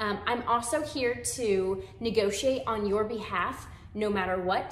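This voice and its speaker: Audible room echo surrounds a woman with an American accent whose fairly high voice shows ordinary pitch variation. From San Antonio, Texas; Texas. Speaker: real estate agent. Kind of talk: webinar presentation. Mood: warm, friendly. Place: home room.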